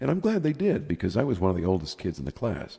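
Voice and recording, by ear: A man talks at a fast pace with very wide pitch swings and fairly low pitch. His tone is dark and mellow, with vocal fry and a slightly husky edge. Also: very clean recording, silent background.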